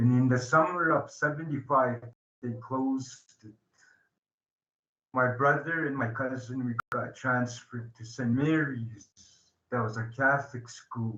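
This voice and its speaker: Bright and sharp in tone, a man speaks with fairly even intonation, big swings in loudness, and long, frequent pauses. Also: medium pitch for a man. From southern Alberta, Blackfoot reserve. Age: 60s. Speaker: addiction recovery advocate. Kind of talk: public talk. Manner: halting, many fillers.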